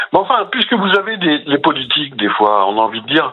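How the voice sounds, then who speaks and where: A man with a fairly high pitch, very wide pitch swings, and a moderate pace. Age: 60s. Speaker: caller. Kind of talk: radio call-in. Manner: halting.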